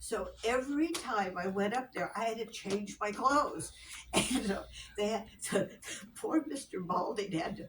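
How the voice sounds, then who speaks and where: A woman's fairly high voice with lively intonation, fairly slow pace and noticeable background noise. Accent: American. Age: 80s+. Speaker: local resident sharing history. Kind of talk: oral history interview. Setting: library talk with small audience. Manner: halting, many repetitions.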